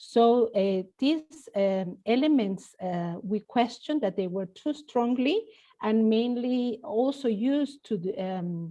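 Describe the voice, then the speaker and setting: A dark, mellow tone with a Spanish accent, lively intonation, a very slow pace and hardly any pauses. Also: woman, fairly high pitch for a woman. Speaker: professor. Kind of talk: panel discussion.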